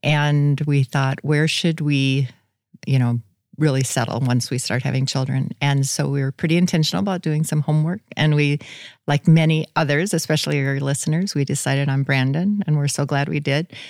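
A woman's very deep, low voice with an American accent, at a moderate pace with fairly even intonation, in a dry, close sound with no echo. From South Dakota, US. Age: 60s. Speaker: author and retired nurse. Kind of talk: casual interview.

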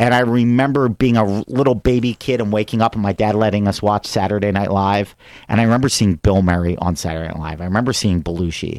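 A man with a Philadelphia accent at fairly low pitch, talking at a very fast pace with hardly any pauses and ordinary pitch variation, in a very clean, dry, close recording with a silent background and no echo. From US Northeast, Philadelphia area. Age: 40s. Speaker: comedian. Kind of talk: casual chat.

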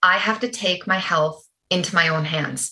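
At a moderate pace, this woman talks in an ordinary speaking voice with lively intonation. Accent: Canadian. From Canada. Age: 40s. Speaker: holistic nutritionist. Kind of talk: interview.

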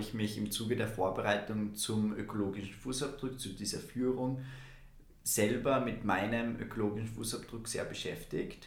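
A man's somewhat breathy voice at a medium pitch, moderate in pace with fairly even intonation, with audible room echo. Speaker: youth climate podcast co-host, environmental volunteer. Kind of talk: casual podcast conversation.

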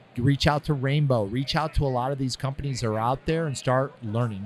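A man with a medium-pitched voice talks at a fairly quick clip. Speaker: podcast host. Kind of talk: casual interview chat. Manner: casual, enthusiastic.

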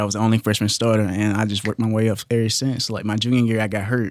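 A man with an American accent speaks at a fairly low pitch with fairly even intonation. The recording is very clean, with a silent background. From Kentucky, Hopkinsville. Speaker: college football player. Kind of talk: casual chat.

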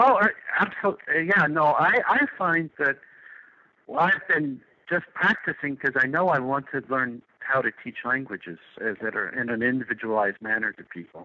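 A man's fairly high voice, lively in intonation, at a moderate pace. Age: 50s. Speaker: retired nomad blogger. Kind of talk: interview. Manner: halting.

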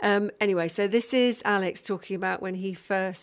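A woman with an ordinary speaking voice, medium pitch, and a fairly quick pace. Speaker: radio presenter. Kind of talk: radio interview. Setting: radio studio.

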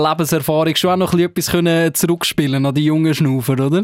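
A man with a fairly high voice talks very fast with fairly even intonation, in a dry, close sound with no echo. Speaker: radio host. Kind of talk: casual interview.

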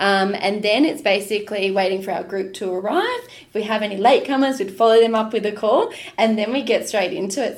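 A woman with an Australian accent speaks fairly quickly at a fairly high pitch with ordinary pitch variation. Audible room echo surrounds her voice. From Queensland, Australia. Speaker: food tour business owner. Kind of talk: casual interview.

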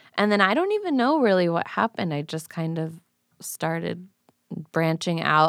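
Recorded very cleanly against a silent background, with a dry, close sound and no echo, a woman uses an ordinary speaking voice at a moderate pace and a fairly low pitch. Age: 20s. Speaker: painter. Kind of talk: casual chat.

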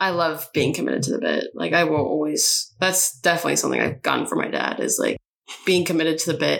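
The speaker has a St. Louis accent. The pace is very fast. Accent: Midwestern American (St. Louis). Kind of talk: casual chat. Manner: animated.

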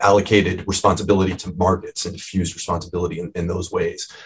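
The speech races along at a very fast pace, somewhat breathy throughout. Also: man. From US Midwest, Cleveland, Ohio. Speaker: medical anthropologist and author. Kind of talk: interview.

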